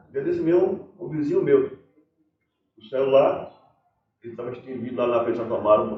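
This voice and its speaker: A man's voice carries audible room echo as he talks at a moderate pace. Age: 60s. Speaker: folk performer. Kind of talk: life-story interview. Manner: halting.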